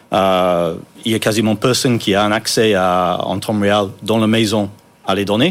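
A man with a slight non-native accent speaks fairly slowly at a fairly low pitch. His loudness stays very even and his intonation fairly even. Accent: slight foreign. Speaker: startup co-founder. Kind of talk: interview. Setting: studio.

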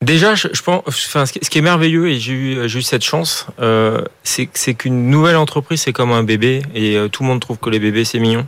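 This man talks at a fairly quick pace with hardly any pauses. His pitch sits in the medium range and varies in an ordinary way. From Paris area, France. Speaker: entrepreneur. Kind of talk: interview. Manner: halting, many repetitions.

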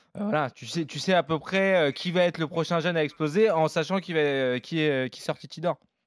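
In a very clean recording with a silent background and a dry, close sound with no echo, a man speaks with a normal speaking voice at a fairly high pitch. His pace is moderate, with ordinary pitch variation and big swings in loudness. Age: 30s. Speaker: football podcast co-host. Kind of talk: casual chat.

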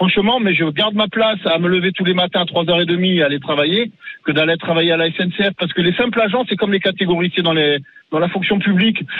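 The speaker sounds animated and moves at a fairly quick pace, keeping loudness very even. There is noticeable background noise. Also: man. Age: 50s. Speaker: garbage truck driver. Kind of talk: street interview.

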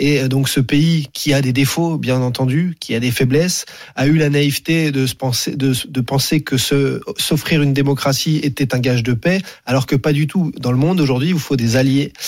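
Here a man with a plain, everyday voice and a fairly high pitch talks at a moderate pace, keeping his loudness very even and his intonation fairly even. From Paris suburbs, France. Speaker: sports journalist. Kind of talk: radio interview.

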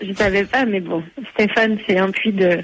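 A fairly slow pace and fairly even intonation over noticeable background noise. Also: woman. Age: 20s. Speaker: long-distance runner. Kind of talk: radio interview.

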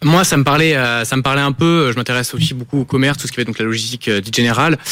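A man with medium pitch, fairly even intonation and an unremarkable speaking voice. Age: 20s. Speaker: engineering student. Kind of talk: interview.

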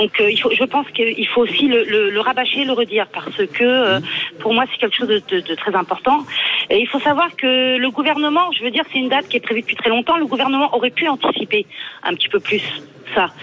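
A woman's high-pitched voice, lively in intonation and fairly quick, over noticeable background noise. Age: 40s. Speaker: radio caller, logistics manager. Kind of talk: call-in opinion. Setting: phone call.

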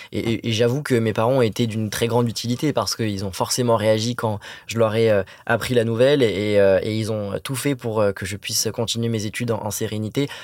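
A fairly quick pace with fairly even intonation. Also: man, medium pitch for a man. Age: 20s. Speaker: anti-bullying association president. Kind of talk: interview. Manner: halting, repeats words.

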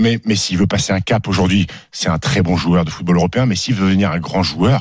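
A somewhat breathy man at a very fast pace. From France, Haute-Savoie (Annecy). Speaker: sports radio host. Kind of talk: sports debate show. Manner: animated.

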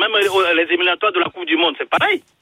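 A bright, sharp tone with a slightly husky edge, lively intonation, and a fast pace in a dry, close sound with no echo. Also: man, high pitch for a man.

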